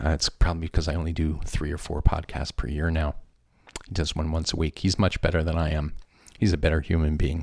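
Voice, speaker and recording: A man speaks very fast in a flat, monotone way. His pitch is very deep and low. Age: 60s. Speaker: music podcast host. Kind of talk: casual DJ chat between songs.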